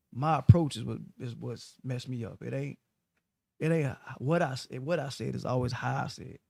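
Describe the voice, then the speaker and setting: The recording is very clean with a silent background as a man speaks at a moderate pace, his loudness swinging widely. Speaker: radio host. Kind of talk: casual chat.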